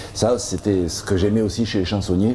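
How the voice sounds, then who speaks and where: A man speaks at a moderate pace with a Roussillon accent. Noticeable background noise runs through the clip. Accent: southern French (Perpignan) accent, kept. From Perpignan, French Catalonia. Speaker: comedian and songwriter. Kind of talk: interview. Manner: hesitant, many repetitions and fillers.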